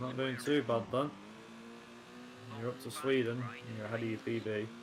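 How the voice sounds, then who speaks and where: A man at a moderate pace in a monotone with flat intonation, amid noticeable background noise. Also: medium pitch for a man. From northern England, Manchester. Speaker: gaming streamer. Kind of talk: casual chat. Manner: lazy diction.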